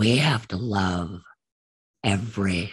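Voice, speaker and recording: A man's voice with vocal fry. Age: 70s. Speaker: war veteran. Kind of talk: testimony. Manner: hesitant, many fillers.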